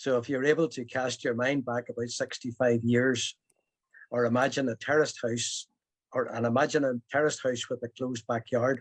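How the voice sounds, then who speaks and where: At a moderate pace, a man with a Belfast accent talks at a medium pitch with fairly even intonation, in a dry, close sound with no echo. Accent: Belfast Northern Irish. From Northern Ireland, Belfast. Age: 70s. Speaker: storyteller. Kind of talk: personal storytelling.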